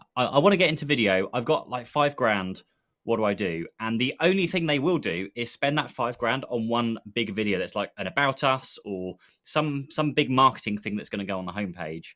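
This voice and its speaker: A man with an English accent speaks at a fairly quick pace in a medium pitch, his bright, sharp tone swinging very widely in pitch. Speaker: podcast co-host, IT business owner. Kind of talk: casual chat, live stream. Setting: live stream video call.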